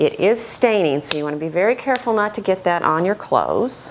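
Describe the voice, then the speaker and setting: A woman with a Midwestern accent speaks at a moderate pace and medium pitch, her pitch swinging very widely over noticeable background noise. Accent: Midwest American. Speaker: art teacher. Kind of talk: tutorial. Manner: friendly, conversational.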